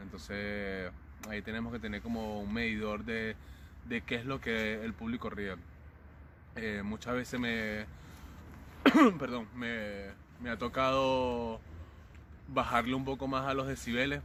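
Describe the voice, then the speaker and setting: A man with a Venezuelan accent and a bright, sharp tone, at a fairly slow pace with long, frequent pauses. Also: medium pitch for a man, ordinary pitch variation. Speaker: circus clown and acrobat. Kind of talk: interview answer. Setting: outdoors.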